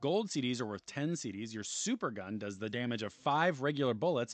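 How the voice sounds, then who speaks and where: In a normal speaking voice, someone talks at a fairly quick pace with lively intonation against a quiet background. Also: man. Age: 40s. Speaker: gaming streamer. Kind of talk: reading aloud; casual stream chat. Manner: rambling, conversational with fillers.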